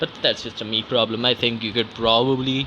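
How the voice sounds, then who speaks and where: At a moderate pace and medium pitch, a man with a non-native accent speaks in a monotone, flat intonation amid noticeable background noise. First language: not English. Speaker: vlogger. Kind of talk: casual monologue. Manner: halting.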